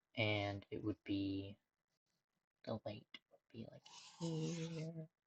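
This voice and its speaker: Very slowly and somewhat breathily, a woman speaks at a very deep, low pitch, with very wide pitch swings and big swings in loudness, the sound dry and close with no echo. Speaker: streamer, digital artist. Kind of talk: casual live-stream commentary while drawing. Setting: home room during a live stream. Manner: rambling and thinking aloud, with self-interruptions.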